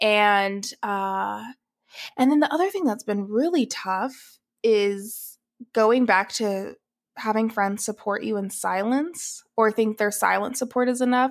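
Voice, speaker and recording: The recording is very clean, with a silent background, and a woman with a fairly high pitch speaks at a fairly slow pace. She has an ordinary speaking voice and ordinary pitch variation. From US South, Atlanta, Georgia. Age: 20s. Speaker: writer and career coach. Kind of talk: casual chat.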